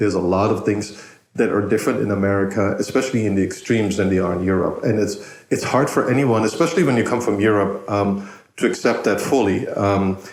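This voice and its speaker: A man speaks very fast with a German accent, his pitch fairly low and his intonation fairly even. His loudness stays very even, and audible room echo surrounds him. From Germany. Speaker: podcast host. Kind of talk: casual interview chat. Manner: repetitive, halting.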